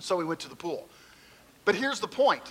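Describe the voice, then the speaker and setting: Over noticeable background noise, a man uses a raised, projected voice with very wide pitch swings. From Kentucky. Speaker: pastor. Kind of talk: sermon.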